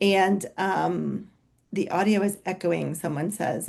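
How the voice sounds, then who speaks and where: In a dark, mellow tone, a woman at a medium pitch talks at a fairly slow pace. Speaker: physician and co-founder of a weight clinic. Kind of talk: webinar presentation. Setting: video call. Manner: loud.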